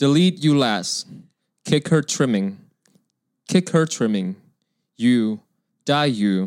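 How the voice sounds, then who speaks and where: On a very clean recording with a silent background, a man speaks at a very slow pace with long, frequent pauses, very wide pitch swings and very even loudness. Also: medium pitch for a man. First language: not English. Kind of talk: casual chat.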